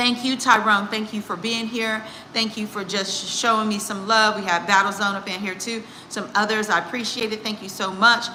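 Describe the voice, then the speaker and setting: A woman speaks at a medium pitch with an American accent. Audible room echo and noticeable background noise fill the recording. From United States. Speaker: executive coach and psychologist. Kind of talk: casual live stream talk. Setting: live stream. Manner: casual, halting.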